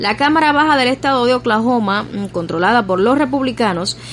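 Noticeable background noise surrounds a woman with a Cuban accent. Her fairly high pitch carries lively intonation at a moderate pace. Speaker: radio news presenter. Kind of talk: news reading. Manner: formal.

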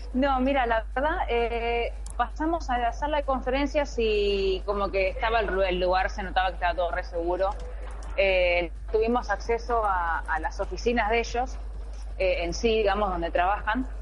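A woman speaks at a moderate pace. There is audible room echo and noticeable background noise. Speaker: gaming fan group leader. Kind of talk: remote interview. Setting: remote call from a station in Japan.

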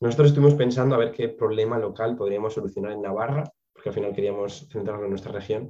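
With a dark, mellow tone, a man talks at a very fast pace with hardly any pauses. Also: medium pitch for a man, ordinary pitch variation. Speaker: biotechnology graduate. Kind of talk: interview.

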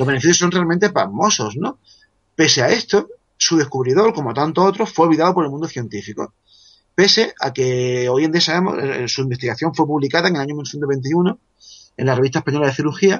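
At a very fast pace, a man speaks with lively intonation in a somewhat breathy voice. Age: 40s. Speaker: author. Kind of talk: casual chat.

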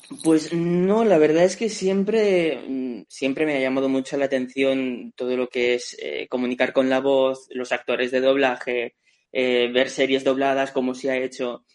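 A man speaks fairly slowly with hardly any pauses. His medium pitch shows ordinary variation. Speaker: voice actor. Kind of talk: casual chat.

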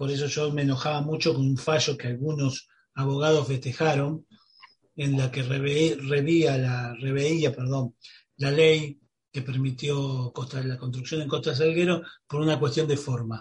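Somewhat breathy and fairly high-pitched, a man talks at a fairly slow pace with monotone, flat intonation. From Buenos Aires, Argentina. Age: 50s. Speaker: radio host. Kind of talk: radio interview.

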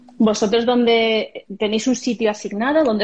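This woman has an ordinary speaking voice, pitched fairly high. Her pitch variation is ordinary. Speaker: podcast host. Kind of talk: casual interview. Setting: Instagram live stream.

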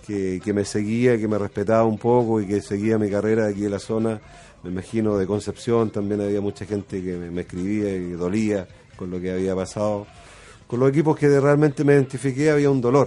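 Fairly low in pitch with ordinary pitch variation, a man's dark, mellow voice moves at a fairly quick pace. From Chile, San Fernando area. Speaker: former footballer, club technical manager. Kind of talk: radio interview.

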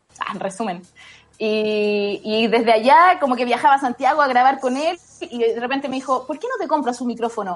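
A woman's high, lively voice in a Chilean accent, with noticeable background noise. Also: fairly quick pace. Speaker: actress. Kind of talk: casual interview.

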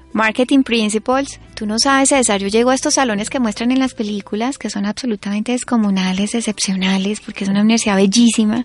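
Over music in the background, the speaker rushes along at a very fast pace with hardly any pauses and fairly even intonation. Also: woman, fairly high pitch for a woman. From Colombia, Florencia (Caquetá). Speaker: author and columnist. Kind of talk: testimony in a radio interview.

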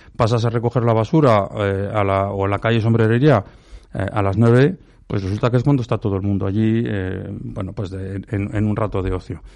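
Against a quiet background, a man with an unremarkable speaking voice talks at a fairly quick pace, fairly low in pitch and fairly even in intonation. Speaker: local opposition politician. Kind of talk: radio panel debate.

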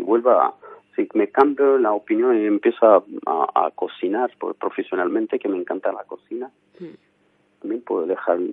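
Moving at a moderate pace, a man talks with big swings in loudness. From Armenia. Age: 40s. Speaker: photographer and painter. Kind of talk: interview. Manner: halting.

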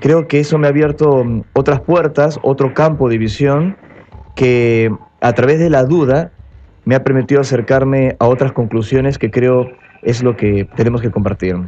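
With very even loudness, a man speaks at a moderate pace in an unremarkable speaking voice, his pitch medium and his pitch variation ordinary. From Peru (Lima). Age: 30s. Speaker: UFO contactee, speaker. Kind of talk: radio interview. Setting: radio studio.

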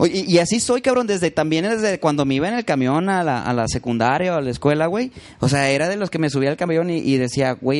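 This is a man with a normal speaking voice and a fairly high pitch. He moves at a fairly quick pace with hardly any pauses. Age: 30s. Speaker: musician. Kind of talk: casual chat.

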